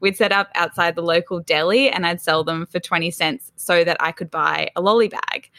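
A woman speaks at a moderate pace with hardly any pauses. Her pitch varies in an ordinary way. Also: fairly low pitch for a woman. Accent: Australian. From Australia, Sydney. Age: 20s. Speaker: business founder. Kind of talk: casual chat.

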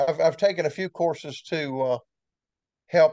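In a Southern US accent, a man talks in a dry, close sound with no echo. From Florida Panhandle, Destin. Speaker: retired towboat pilot. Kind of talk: interview. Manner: halting.

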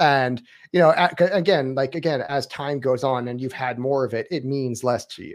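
A medium-pitched man at a moderate pace, ordinary pitch variation, big swings in loudness, and a quiet background. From Lake County, Florida. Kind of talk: casual chat about books and politics. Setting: online video call. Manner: rambling, halting, many filler words.

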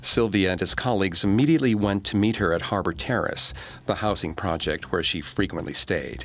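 A man's plain, everyday voice, fairly low and fairly quick, with lively intonation and very even loudness. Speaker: podcast narrator. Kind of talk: true-crime narration. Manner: measured, grave storytelling tone.

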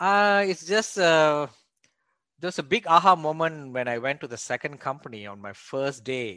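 Bright and sharp in tone, a man's voice at a fairly high pitch moves at a moderate pace with lively intonation and big swings in loudness. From Malaysia. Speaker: real estate investor, former engineer. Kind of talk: interview.

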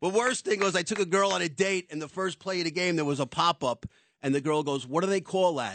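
Talking at a very fast pace, a man with a New York accent has a high pitch and ordinary pitch variation, heard in a dry, close sound with no echo over a quiet background. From New York City. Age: 60s. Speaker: doorman and charity founder. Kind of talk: radio interview. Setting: studio.

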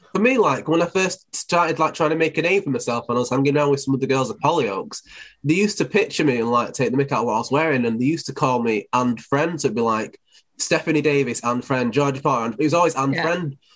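Against a quiet background, a man with a Mancunian accent speaks very fast at a fairly high pitch with lively intonation. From Manchester, England. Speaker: DJ and presenter. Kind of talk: casual interview.

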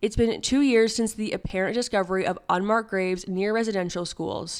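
At a fairly quick pace, a woman with a normal speaking voice, medium pitch and ordinary pitch variation is heard in a very clean recording with a silent background. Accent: Canadian. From Ontario. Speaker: news podcast co-host. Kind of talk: casual news discussion; news reading and discussion.

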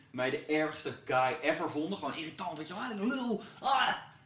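A man at a fairly high pitch with lively intonation, amid audible room echo and noticeable background noise. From Netherlands, Brabant (born in Gouda). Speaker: rapper. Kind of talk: casual chat. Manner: halting, many fillers.

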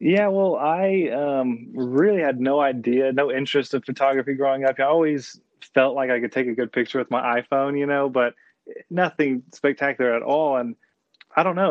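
A man with an American accent and a plain, everyday voice speaks at a fairly high pitch and a fairly quick pace, with ordinary pitch variation. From Austin, Texas. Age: 20s. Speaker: outdoor photographer and social media account runner. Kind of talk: casual interview.

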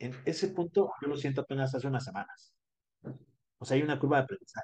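This man has a fairly high pitch. His tone is dark and mellow. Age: 20s. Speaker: dentist. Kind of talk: interview.

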